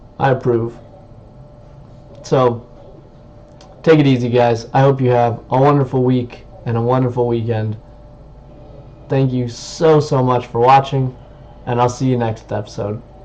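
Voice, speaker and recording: Amid noticeable background noise, a man with a medium pitch speaks at a moderate pace in an enthusiastic tone, with long, frequent pauses. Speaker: YouTuber reviewing tech. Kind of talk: product review vlog. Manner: loud; casual, enthusiastic. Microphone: webcam built-in mic.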